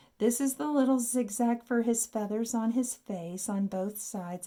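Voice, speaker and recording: At a moderate pace, a woman talks in a fairly high pitch with a dark, mellow tone, somewhat breathy and with lively intonation. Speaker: art teacher. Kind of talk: tutorial.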